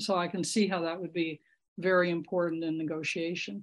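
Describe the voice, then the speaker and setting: A woman's fairly low, monotone, flat voice in an American accent. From California. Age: 80s+. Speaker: retired clinical psychologist. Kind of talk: casual group discussion. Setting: video call.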